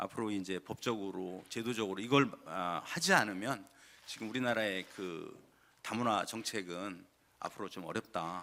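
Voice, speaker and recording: A man's fairly low voice, bright and sharp in tone, at a moderate pace with ordinary pitch variation. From South Chungcheong, Korea (Cheonan). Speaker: provincial council member. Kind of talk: formal legislative questioning. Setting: council assembly chamber.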